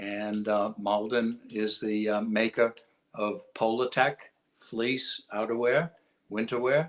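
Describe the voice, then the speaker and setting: A man with a Boston accent speaks at a very slow pace with fairly even intonation. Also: medium pitch for a man. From Massachusetts, Lawrence. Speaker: industry executive. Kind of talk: interview.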